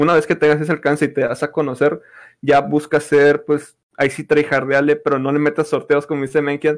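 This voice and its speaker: Over a very clean recording with a silent background, a man with a fairly high pitch speaks at a moderate pace in a monotone, flat intonation. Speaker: podcast host, esports content creator. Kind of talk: casual chat.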